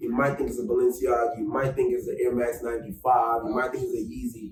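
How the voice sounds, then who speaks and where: A man speaks very fast with a New York accent. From New York, Bronx. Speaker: fashion designer. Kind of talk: casual chat. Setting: studio. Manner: animated.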